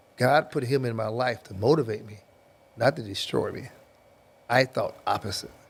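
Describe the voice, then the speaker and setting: A man with a medium pitch and a somewhat breathy voice talks at a moderate pace, leaving long, frequent pauses. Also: ordinary pitch variation, big swings in loudness. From Kentucky, Louisville. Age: 60s. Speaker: football coach, former NFL player. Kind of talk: podcast interview.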